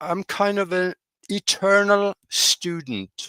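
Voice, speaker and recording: With a Norwegian accent, a man speaks at a very slow pace in a dry, close sound with no echo. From Norway. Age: 80s+. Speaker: pilot and UFO researcher. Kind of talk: interview. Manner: halting, frequent fillers.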